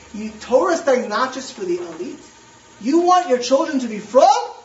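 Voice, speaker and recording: Over noticeable background noise, someone with an American accent speaks at a moderate pace with lively intonation. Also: man. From US East Coast. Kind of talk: lecture.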